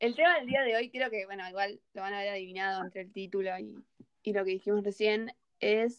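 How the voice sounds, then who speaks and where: Against a quiet background, an unremarkable speaking voice moves at a fairly quick pace with ordinary pitch variation. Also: woman. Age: young. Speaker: podcast host. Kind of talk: casual chat.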